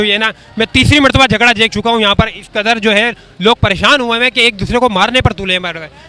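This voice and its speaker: A man talks in a raised, projected voice, high-pitched with ordinary pitch variation. Background noise is noticeable. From Pakistan. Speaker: street reporter. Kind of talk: street interview.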